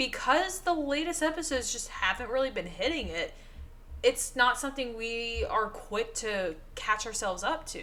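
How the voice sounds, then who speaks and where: In a Southern US accent, a woman uses a raised, projected voice. Her pitch is high and swings very widely. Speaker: podcast co-host. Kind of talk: casual chat.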